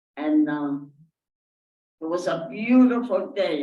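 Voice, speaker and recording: A woman with a very deep, low pitch and a dark, mellow tone speaks at a fairly slow pace with lively intonation, with audible room echo. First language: not English. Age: 80s+. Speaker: Holocaust survivor. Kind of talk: audience Q&A testimony. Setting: synagogue with audience. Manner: halting.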